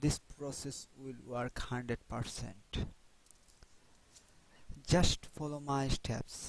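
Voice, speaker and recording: Speaking at a very slow pace with long, frequent pauses, a man with a non-native accent keeps a flat, monotone intonation at a medium pitch. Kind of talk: software tutorial narration.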